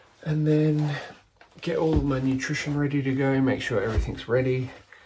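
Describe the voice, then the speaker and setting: A man speaks quietly at a fairly quick pace in a relaxed tone. Noticeable background noise is present. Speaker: amateur ultramarathon runner vlogger. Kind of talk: casual vlog narration. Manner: relaxed, with fillers; quiet, hushed.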